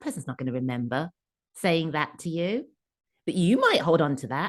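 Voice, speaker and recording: With an English accent, a woman speaks at a fairly low pitch, her voice making very wide pitch swings. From England. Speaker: career coach and author. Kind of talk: podcast interview answer.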